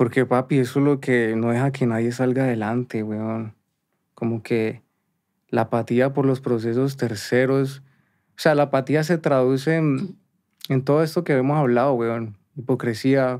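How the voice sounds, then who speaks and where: On a very clean recording with a silent background, a man with a Cali accent speaks at medium pitch and a fairly slow pace with fairly even intonation. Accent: Colombian Caleño Spanish. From Colombia, Cali. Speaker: musician and producer. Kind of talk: casual interview chat.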